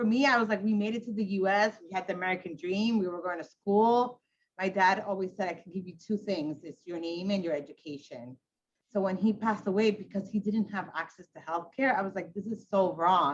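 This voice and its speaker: In a Spanish accent, a woman speaks at a fairly quick pace and medium pitch, her loudness swinging widely. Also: ordinary pitch variation. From Ecuador, raised in Queens, New York. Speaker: hospital CEO. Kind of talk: panel discussion. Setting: video call. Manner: casual, animated.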